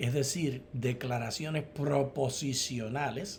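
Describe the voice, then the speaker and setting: Over noticeable background noise and audible room echo, a man with a fairly high pitch speaks at a very slow pace. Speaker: theology professor and co-host. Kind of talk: Bible study dialogue.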